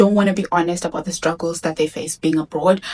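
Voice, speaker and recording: Talking at a very fast pace, a woman speaks with a Zimbabwean accent. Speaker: vlogger. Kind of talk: casual talk to camera.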